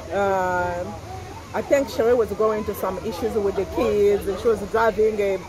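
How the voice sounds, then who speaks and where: In a French accent, a woman at a medium pitch speaks at a fairly slow pace, the sound dry with no echo and crowd noise in the background. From Congo, raised partly in France. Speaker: fashion boutique owner and YouTuber; vlogger. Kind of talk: casual chat. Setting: restaurant. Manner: animated, laughs often. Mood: animated, gossipy. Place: cafe.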